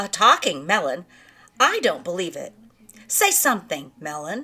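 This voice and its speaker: A woman puts on a character voice at a medium pitch. She keeps a moderate pace. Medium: read story. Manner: regal, commanding.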